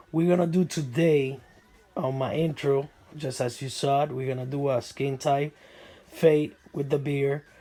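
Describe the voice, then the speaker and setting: A somewhat breathy man's voice with a non-native accent and fairly even intonation. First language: not English. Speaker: barber. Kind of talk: tutorial. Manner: hesitant, filler-heavy.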